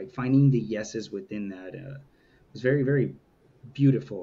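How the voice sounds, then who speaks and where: A man speaks at a very fast pace. His tone is dark and mellow, with ordinary pitch variation. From Southern California, Inland Empire (Moreno Valley). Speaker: founder of a men's community, guest. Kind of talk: interview conversation. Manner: casual, many fillers.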